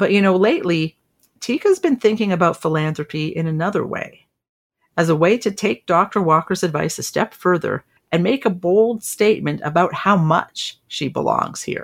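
A woman speaks in a plain, everyday voice at medium pitch, with ordinary pitch variation and a moderate pace. The recording is very clean, with a silent background. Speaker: podcast host. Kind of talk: scripted podcast narration.

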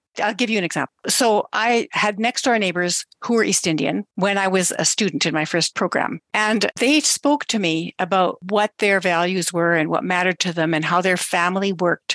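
A woman speaks in a normal speaking voice at medium pitch with ordinary pitch variation, very even loudness and hardly any pauses, the sound dry and close with no echo over a quiet background. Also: moderate pace. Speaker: podcast host. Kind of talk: interview, conversational.

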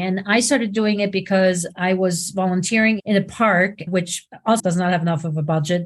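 A somewhat breathy woman's voice of medium pitch, with ordinary pitch variation and a moderate pace over a quiet background. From Switzerland. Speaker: video producer. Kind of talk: casual chat.

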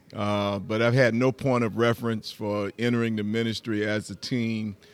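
A man talks at a moderate pace with a Southern US accent. The sound is dry and close, with no echo. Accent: Southern US (Georgia). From US South, rural Georgia. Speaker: pastor. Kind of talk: interview.

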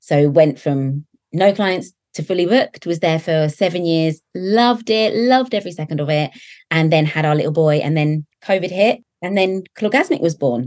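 Recorded dry and close with no echo, a woman with a southern English accent speaks at a fairly low pitch with lively intonation. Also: moderate pace. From southern England. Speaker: nail technician and educator. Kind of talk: interview conversation.

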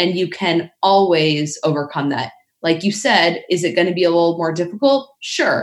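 A woman with a fairly low pitch and lively intonation, a normal speaking voice. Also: moderate pace. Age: 30s. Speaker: fitness coach. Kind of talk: casual chat.

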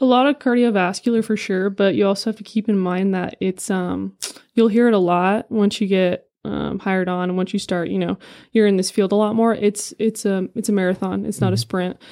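With a Californian accent, a woman speaks at a fairly quick pace in a dark, mellow tone, her medium pitch following fairly even intonation on a very clean recording with a silent background. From California, San Diego. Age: 20s. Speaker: firefighter recruit. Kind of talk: casual interview.

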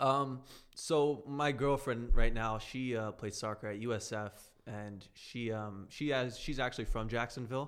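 Delivered at a fairly slow pace with hardly any pauses, a man's a normal speaking voice sits at medium pitch with fairly even intonation. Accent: American. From South Florida, Brazilian family. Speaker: real estate acquisitions staff, former college soccer player. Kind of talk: casual chat. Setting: studio.

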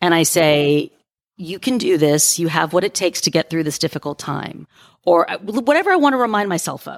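A woman speaks in a normal speaking voice, fairly low in pitch, at a fairly quick pace with lively intonation. The sound is dry and close with no echo, in a very clean recording with a silent background. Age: 50s. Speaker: life coach and podcaster. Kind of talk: interview advice talk.

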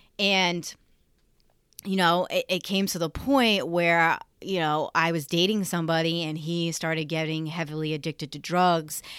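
A woman with a fairly low-pitched voice speaks in an animated tone at a moderate pace, on a very clean recording with a silent background. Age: 30s. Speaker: spiritual teacher and podcast host. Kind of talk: casual solo monologue.

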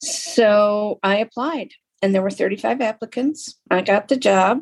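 Using a normal speaking voice, a woman talks at a fairly high pitch with ordinary pitch variation. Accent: American. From Lapeer, Michigan, US. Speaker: podcast host, arts center director. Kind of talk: interview.

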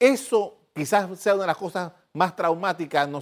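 Speaking at a moderate pace with ordinary pitch variation, a man uses a normal speaking voice on a very clean recording with a silent background. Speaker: TV news host, journalist. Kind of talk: TV interview.

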